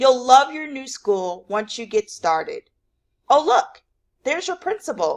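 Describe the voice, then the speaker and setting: Doing a put-on character voice, a woman speaks high-pitched at a moderate pace, with very wide pitch swings and big swings in loudness. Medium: read story.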